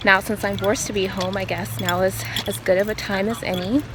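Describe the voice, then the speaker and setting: A woman talks at a moderate speed while noticeable noise fills the background. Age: 20s. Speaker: yoga teacher. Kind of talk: casual vlog intro; guided yoga instruction. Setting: outdoors on a walking trail.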